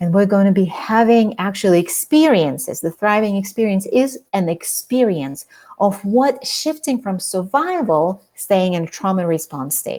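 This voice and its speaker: With a non-native accent, a woman talks at a moderate pace with hardly any pauses, using lively intonation, a medium pitch and a dark, mellow tone. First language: not English. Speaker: author and trauma coach. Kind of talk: interview.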